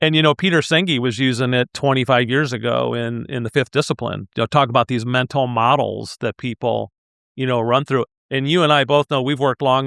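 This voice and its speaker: At a fairly quick pace, a man talks in an ordinary speaking voice, medium in pitch and fairly even in intonation. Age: 60s. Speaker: leadership consultant and executive coach. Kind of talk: podcast interview.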